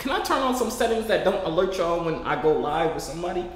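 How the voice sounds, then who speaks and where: An animated, playful man with an American accent, plus audible room echo. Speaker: online video creator chatting with strangers. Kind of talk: casual vlog chat. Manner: animated, playful, talks to his audience. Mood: self-mocking, playful frustration. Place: home room.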